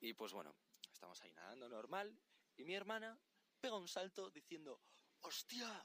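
With a Spanish accent, a man talks in a bright, sharp tone with very wide pitch swings. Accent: Spain Spanish. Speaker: podcast guest, friend. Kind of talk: casual storytelling. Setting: outdoors on a beach at night.

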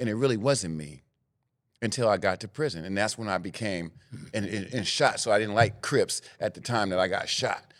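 Someone speaks with a Northern California accent at a moderate pace with ordinary pitch variation. The recording is very clean, with a silent background. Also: man, fairly low pitch for a man. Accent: Northern California urban American English. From Sacramento, California, US. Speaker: former gang member turned mentor. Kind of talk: interview.

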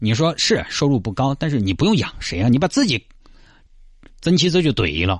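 His pitch fairly high and swinging very widely, a man with vocal fry talks at a fairly quick pace. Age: 30s. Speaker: radio host. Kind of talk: radio talk show monologue.

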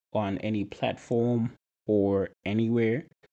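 A soft-spoken man with a Zimbabwean accent, a dark, mellow tone and a quiet background. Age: 20s. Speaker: nutrition and fitness coach, podcast host. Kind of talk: personal monologue.

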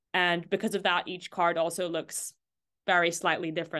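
A woman talks at a fairly quick pace in a fairly low voice with a bright, sharp tone and monotone, flat intonation against a quiet background. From eastern Mediterranean. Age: young. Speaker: artist and witchcraft practitioner. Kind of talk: casual chat.

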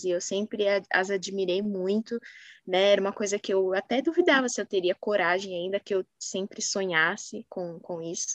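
At a moderate pace, a woman speaks in a medium pitch, the sound dry and close with no echo. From São Paulo, Brazil. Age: 20s. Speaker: marketing professional, former exchange student. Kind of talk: casual interview.

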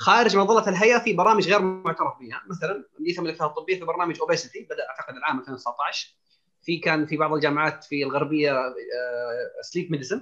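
This man's voice is high in pitch. It rises and falls in an ordinary way. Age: 30s. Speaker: family physician and diabetologist. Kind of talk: panel discussion.

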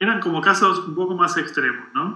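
A man's bright, sharp voice carries audible room echo. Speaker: tech engineering director. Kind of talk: interview. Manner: halting.

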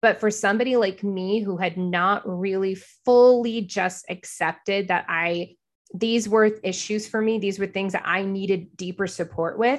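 Her medium-pitched voice is a normal speaking voice, and the woman talks at a moderate pace. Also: fairly even intonation. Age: 40s. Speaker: podcast host. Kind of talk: personal monologue. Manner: casual, filler-heavy.

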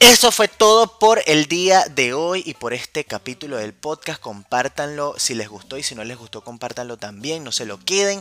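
Over noticeable background noise, a man talks at a moderate pace with hardly any pauses, very wide pitch swings and big swings in loudness, in a dry, close sound with no echo. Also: fairly high pitch for a man. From Venezuela, Caracas. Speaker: wine podcast host. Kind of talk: casual solo podcast. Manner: animated, playful.

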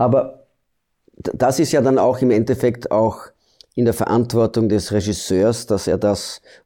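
With a Dutch accent, a man speaks fairly slowly in a dark, mellow tone at a fairly low pitch. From Belgium. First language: Dutch (speaking German). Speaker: actor. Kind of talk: interview. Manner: halting.

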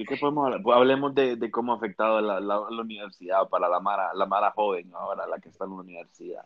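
A man talks at a very fast pace with hardly any pauses, his fairly low voice showing ordinary pitch variation. His loudness swings widely. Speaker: podcast co-host, university student. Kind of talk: casual chat.

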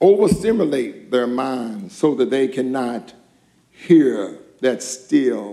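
What we hear is plain reading aloud.

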